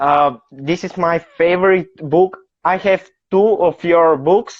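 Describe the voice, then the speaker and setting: Very slowly, a woman with a Bulgarian accent speaks in a fairly low voice, her pitch varying in an ordinary way. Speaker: fan on video call. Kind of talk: casual chat. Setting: video call. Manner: halting.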